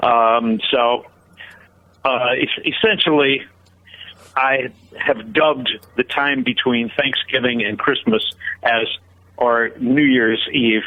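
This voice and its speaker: With an American accent, a man speaks at medium pitch. His pitch varies in an ordinary way. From northeastern Pennsylvania, near Scranton. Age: 60s. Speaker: singer-songwriter and guitarist. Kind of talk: interview. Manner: halting, many fillers.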